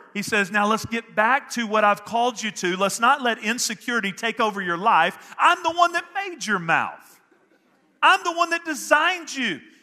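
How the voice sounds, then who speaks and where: With an American accent, a man speaks in a raised, projected voice at a moderate pace, his pitch extremely high and swinging very widely. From Northeast Texas. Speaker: pastor. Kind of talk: sermon. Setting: church service with congregation. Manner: animated.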